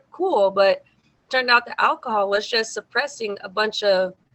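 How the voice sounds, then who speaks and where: This woman speaks with an American accent. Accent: slight Mexican American. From South Texas, Mexican American. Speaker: singer. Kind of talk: interview.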